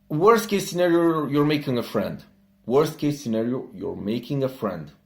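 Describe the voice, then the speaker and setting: Over music in the background, a man speaks with a Romanian accent and lively intonation. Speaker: entrepreneur. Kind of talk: casual talk to camera.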